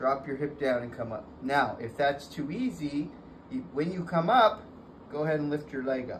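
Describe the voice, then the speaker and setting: A man talks at a moderate pace with a somewhat breathy voice. Light background noise sits behind him. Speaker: fitness trainer. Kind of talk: tutorial. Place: gym. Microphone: camera far.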